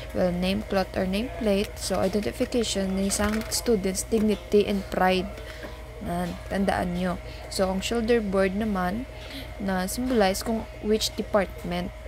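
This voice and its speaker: Over noticeable background noise, a woman talks at a fairly slow pace. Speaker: maritime student vlogger. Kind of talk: casual vlog chat. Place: home room. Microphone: phone near.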